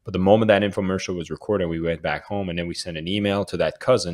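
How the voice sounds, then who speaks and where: The pace is very fast. Intonation stays fairly even throughout. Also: man. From Canada. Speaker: author and sales coach. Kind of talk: interview conversation. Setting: remote call.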